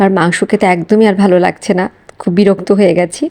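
The woman speaks at a medium pitch with monotone, flat intonation. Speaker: vlogger, homemaker. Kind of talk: vlog voiceover.

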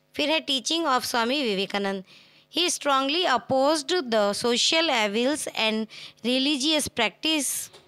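The speaker's raised, projected voice carries lively intonation while the loudness stays very even. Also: woman, high pitch for a woman. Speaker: online tutor. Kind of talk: tutorial.

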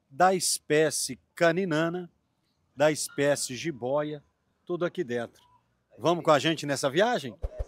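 A man at a very slow pace, the sound dry with no echo. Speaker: travel video host interviewing locals. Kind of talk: casual on-location interview. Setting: outdoors. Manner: animated. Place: street. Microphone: handheld.

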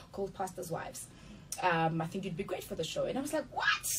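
A woman speaks very fast with lively intonation, and background noise is noticeable. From South Africa, Mamelodi (Pretoria). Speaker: actress. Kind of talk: interview. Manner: halting. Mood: earnest, reflective. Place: studio.

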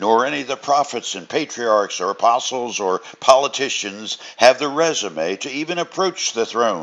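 A natural reading voice comes through with lively intonation.

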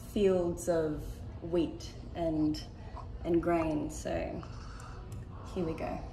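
Over light background noise and audible room echo, a woman talks at a very slow pace in a fairly low voice. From Australia. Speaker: bandura player. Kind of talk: interview answer. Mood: warm, smiling. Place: meeting room.

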